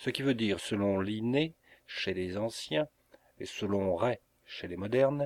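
Unforced voice, reading

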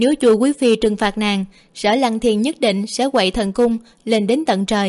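A natural voice, reading aloud

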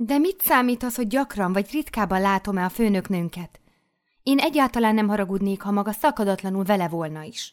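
Against a quiet background, someone does some plain reading aloud.

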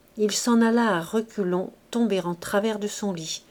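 The voice is plain reading aloud. Nothing more marks the delivery.

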